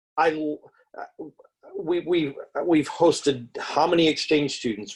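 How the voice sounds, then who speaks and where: Pitched fairly high, the man's voice moves with ordinary pitch variation. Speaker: discussion participant. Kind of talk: group book discussion. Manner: loud; halting.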